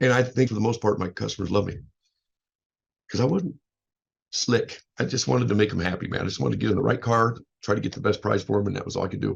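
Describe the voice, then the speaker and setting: A man talks very fast in a fairly low voice. He leaves long, frequent pauses. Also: ordinary pitch variation. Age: 50s. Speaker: life coach and motivational speaker. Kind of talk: casual show introduction monologue. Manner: loud; halting, repetitive.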